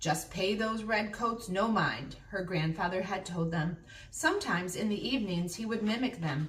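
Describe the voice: The pitch shows ordinary variation. Someone does plain reading aloud.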